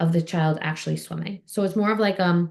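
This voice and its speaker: Somewhat breathy, a woman speaks at a fairly quick pace with medium pitch. Her tone is dark and mellow against a quiet background. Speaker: physical therapist and swim instructor. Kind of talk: Q&A session, casual explanation. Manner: fast.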